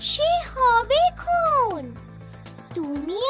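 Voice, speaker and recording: Cartoonish female-sounding character voice, extremely high in pitch with very wide swings, over loud music. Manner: reassuring, knowing.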